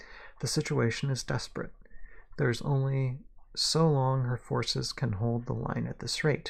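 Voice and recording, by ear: A passage is read aloud here in a natural voice.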